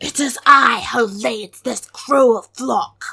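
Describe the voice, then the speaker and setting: Growling in a put-on character voice, a woman speaks very slowly at a high pitch. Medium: read story. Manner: proud.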